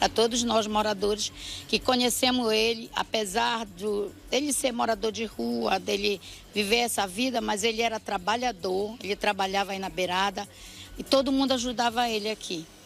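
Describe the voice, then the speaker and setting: With music in the background, a woman speaks at a moderate pace with fairly even intonation. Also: fairly high pitch for a woman. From Belém, Pará, northern Brazil. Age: 60s. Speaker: local resident interviewed. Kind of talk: street news interview.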